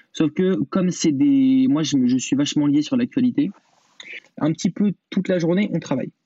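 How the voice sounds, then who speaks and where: Lively intonation at a moderate pace, with very even loudness throughout. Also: man, fairly high pitch for a man. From France, Vienne (near Poitiers). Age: 20s. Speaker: radio host. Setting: video call. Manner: halting, many fillers.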